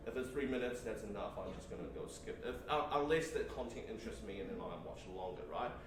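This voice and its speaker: Very fast and with hardly any pauses, a man talks amid audible room echo and noticeable background noise. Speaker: teacher presenting workshop. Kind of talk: workshop presentation. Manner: halting, many fillers and repeats.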